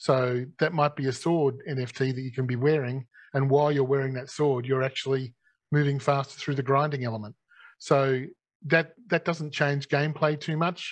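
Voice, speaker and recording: A man with an Australian accent speaks at a moderate pace in a fairly high pitch. His intonation is fairly even, and the background is quiet. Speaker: gaming company executive. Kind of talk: live Q&A session.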